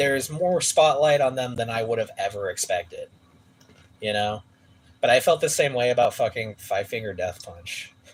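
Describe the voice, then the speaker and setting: A man with an American accent talks at a moderate pace and medium pitch. His voice is somewhat breathy, with ordinary pitch variation. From San Francisco Bay Area, California. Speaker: musician streaming a live gaming stream. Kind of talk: casual chat. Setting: livestream. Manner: quiet, soft-spoken.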